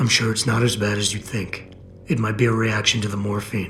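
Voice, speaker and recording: A man puts on a raspy character voice, fairly low in pitch, with a calm tone and fairly even intonation. He talks at a fairly quick pace over clear background noise. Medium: video game. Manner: calm, measured.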